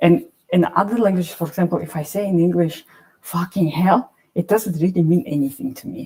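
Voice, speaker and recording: At a moderate pace, a woman with a fairly low pitch speaks in a dark, mellow tone with ordinary pitch variation. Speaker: artist and poet. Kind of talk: panel discussion. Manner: halting, many restarts.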